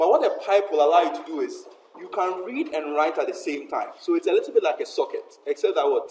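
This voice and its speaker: Noticeable background noise is present. A man talks at a fairly quick pace. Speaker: university lecturer. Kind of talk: lecture. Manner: fast.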